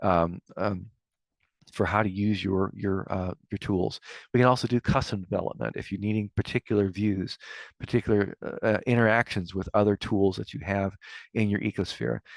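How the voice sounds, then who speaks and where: Against a quiet background, a man's fairly low voice comes through dry and close with no echo, his intonation fairly even. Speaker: software consultant and webinar presenter. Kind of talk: webinar presentation. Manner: fast; halting, many filler words.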